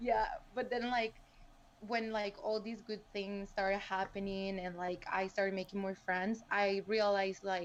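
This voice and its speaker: In a Spanish accent, a woman talks at a fairly slow pace and medium pitch. Her intonation stays monotone and flat. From El Salvador. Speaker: PhD student and STEM content creator. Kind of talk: podcast interview.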